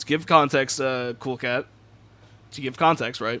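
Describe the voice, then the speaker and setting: A man talks in a bright, sharp tone. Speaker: gaming streamer. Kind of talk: casual live stream chat. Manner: halting, stumbling over words.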